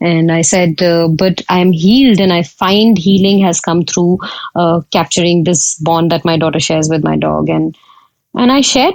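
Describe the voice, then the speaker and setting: At a moderate pace, a woman talks with a fairly low pitch and ordinary pitch variation. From India. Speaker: photographer. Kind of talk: podcast interview. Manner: hesitant, many fillers.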